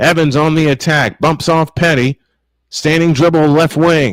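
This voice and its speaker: A man with a fairly high pitch at a moderate pace, on a very clean recording with a silent background. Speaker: sports play-by-play announcer. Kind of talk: live basketball play-by-play call. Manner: passionate, energetic.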